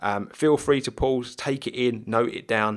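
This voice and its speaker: This man speaks with a British accent. His intonation is fairly even. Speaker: gaming video creator. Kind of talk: gameplay commentary. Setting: home recording at night. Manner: quiet, subdued; casual, filler-heavy.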